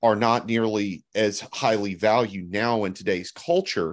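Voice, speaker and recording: Against a quiet background, a man with a Texas accent speaks at a fairly slow pace in a fairly low pitch. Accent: Southern US (Texas). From Texas Hill Country and Gulf Coast Alabama. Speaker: podcast co-host. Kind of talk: casual chat.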